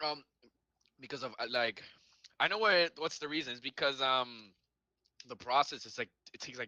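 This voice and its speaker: The sound is dry and close with no echo as a man with a bright, sharp tone speaks with ordinary pitch variation, big swings in loudness and long, frequent pauses. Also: medium pitch for a man, moderate pace. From Venezuela. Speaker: debate participant. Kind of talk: casual debate. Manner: interrupting, talks over the other.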